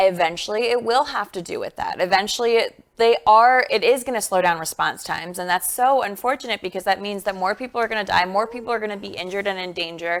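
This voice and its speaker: A woman with an East Coast accent talks at a very fast pace. Her pitch is medium and she takes hardly any pauses. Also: ordinary pitch variation. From US East Coast. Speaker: talk show co-host, former reporter. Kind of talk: casual news discussion.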